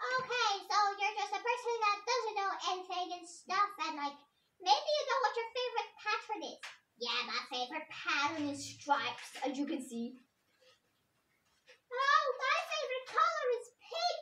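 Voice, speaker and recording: A cartoonish character voice at extremely high pitch swings very widely in pitch while keeping a moderate pace. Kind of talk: puppet show dialogue. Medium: puppet. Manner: playful, casual.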